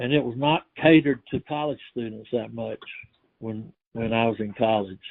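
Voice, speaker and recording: A man with a Georgia accent speaks at a medium pitch. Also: ordinary pitch variation, moderate pace. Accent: Georgia Southern US. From US South. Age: 70s. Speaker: oral history interviewee. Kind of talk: oral history interview.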